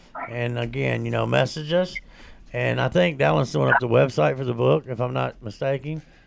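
Noticeable background noise sits behind the speech. A man talks at a fairly quick pace. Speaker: recovery show co-host. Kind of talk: casual chat. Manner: animated.

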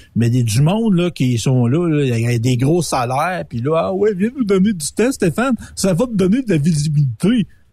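Using very wide pitch swings, a man with a dark, mellow tone and a fairly high pitch speaks at a moderate pace. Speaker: radio co-host. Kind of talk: casual chat.

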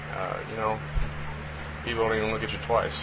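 Fairly quick American-accented speech with noticeable background noise and audible room echo. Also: man. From Texas, Austin. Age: 30s. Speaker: professional baseball player. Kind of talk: interview.

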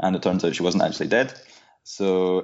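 A man talks at a fairly quick pace with a very deep, low pitch. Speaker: local tour guide. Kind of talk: interview, informative chat. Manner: hesitant, many fillers.

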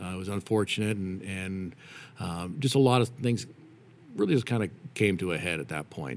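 A man with an American accent and a very deep, low pitch, at a moderate pace with long, frequent pauses, on a very clean recording with a silent background. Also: lively intonation. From Nevada, US (Reno). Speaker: father, church ministry volunteer. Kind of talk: casual interview. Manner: halting.

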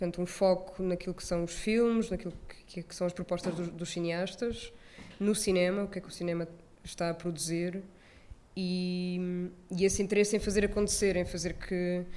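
A woman at a medium pitch talks at a moderate pace in a monotone, flat way, her loudness swinging widely, with audible room echo around her. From Portugal, Lisbon area (Odivelas). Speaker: film curator. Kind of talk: live interview. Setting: stage with live audience.

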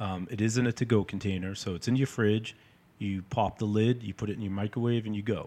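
With an American accent, a man has an unremarkable speaking voice, fairly low in pitch with ordinary pitch variation. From North Shore, Massachusetts (Peabody). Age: 40s. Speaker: chef and meal prep business owner. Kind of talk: casual interview.

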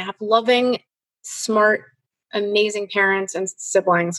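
This woman talks with a Chicago accent. The sound is dry and close, with no echo. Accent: Chicago American English. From US Midwest, Chicago. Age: 50s. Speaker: filmmaker and teacher. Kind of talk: interview. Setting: video call. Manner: halting, with frequent repetitions.

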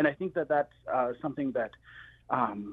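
A normal speaking voice with an American accent. It moves at a fairly quick pace. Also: man. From Plains tribe, US. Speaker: chef. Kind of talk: radio interview.

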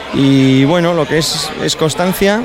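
Audible room echo and noticeable background noise both come through in the clip. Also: man. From Valladolid, Spain. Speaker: homebrewer. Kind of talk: interview.

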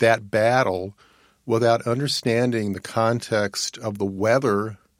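A man with an American accent uses a normal speaking voice at medium pitch and a moderate pace. His pitch variation is ordinary, and the recording is very clean with a silent background. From Virginia. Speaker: historian. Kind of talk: interview.

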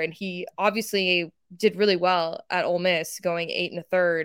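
A woman with an American accent and an ordinary speaking voice, medium in pitch, with fairly even intonation. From Texas. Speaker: sports journalist. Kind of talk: casual interview. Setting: video call.

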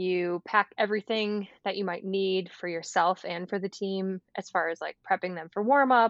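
In an American accent and a plain, everyday voice, a woman talks at a moderate pace and medium pitch with fairly even intonation. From US Midwest, Michigan. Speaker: physical therapist. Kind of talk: casual interview.

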